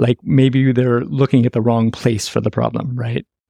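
A man with a Californian accent talks at a fairly quick pace in a dark, mellow tone. The sound is dry and close, with no echo. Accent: General American (Californian). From US West Coast, San Francisco. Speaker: acupuncturist. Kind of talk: interview, clinical explanation.

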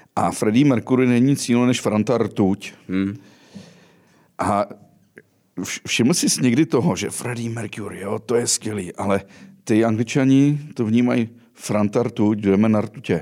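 Medium-pitched man with a dark, mellow tone, fairly slow pace, ordinary pitch variation and long, frequent pauses. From western Bohemia. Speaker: podcast host. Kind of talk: interview.

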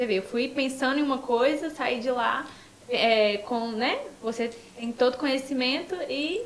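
A woman's high-pitched voice at a fairly slow pace, with ordinary pitch variation, audible room echo and noticeable background noise. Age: 20s. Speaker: influencer and psychology student. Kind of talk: casual chat.

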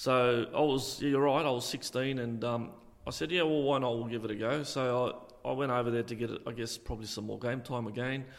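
In an Australian accent, a man speaks at a fairly quick pace with fairly even intonation, and the room echo is audible. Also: medium pitch for a man. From Australia, Illawarra region (NSW). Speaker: retired football referee. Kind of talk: interview. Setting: community hall.

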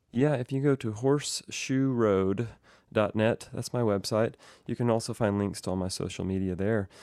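On a very clean recording with a silent background, a man with an American accent speaks at a moderate pace in a dark, mellow tone with a fairly low pitch and fairly even intonation. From Oklahoma (Enid, northwest). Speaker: fiddler and touring musician. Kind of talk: interview conversation.

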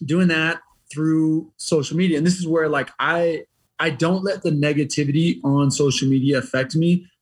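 This is a plain, everyday voice with an American accent. It keeps a moderate pace and fairly even intonation. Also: man. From Montana (small town), then Las Vegas. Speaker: retired army special forces soldier. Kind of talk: casual interview chat.

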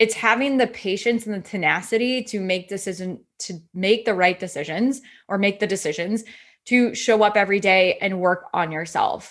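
With an American accent, a woman at a medium pitch uses ordinary pitch variation in an ordinary speaking voice, on a very clean recording with a silent background. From US Midwest, Iowa. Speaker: entrepreneur and business coach. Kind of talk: podcast interview.

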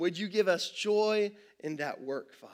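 Male speech pitched high, its variation ordinary. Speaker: pastor. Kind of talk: sermon. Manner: halting.

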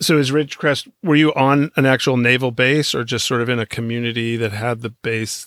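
A man with a normal speaking voice at medium pitch, fairly quick pace with hardly any pauses, fairly even intonation, and a very clean recording with a silent background. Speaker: podcast host. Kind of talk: interview.

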